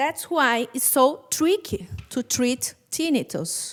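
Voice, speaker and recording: In a Brazilian Portuguese accent, a woman talks at a very slow pace with a high pitch. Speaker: physician researcher. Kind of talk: conference talk.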